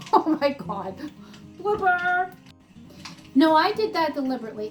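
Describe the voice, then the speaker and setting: Over background music, the woman's pitch swings very widely. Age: 60s. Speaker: horse farm owner. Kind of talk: casual talk to camera.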